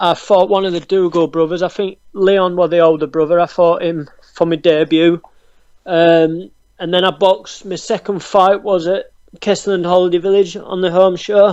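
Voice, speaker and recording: The speaker has a Yorkshire accent and a monotone, flat intonation. The pace is moderate. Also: man, high pitch for a man. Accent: Barnsley Yorkshire. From northern England, Barnsley, South Yorkshire. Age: 20s. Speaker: professional boxer. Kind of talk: interview. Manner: hesitant, many ums.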